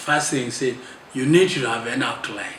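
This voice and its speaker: Audible room echo and noticeable background noise surround a man speaking at a moderate pace with a fairly high pitch. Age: 70s. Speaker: clergyman and author. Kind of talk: interview. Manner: halting.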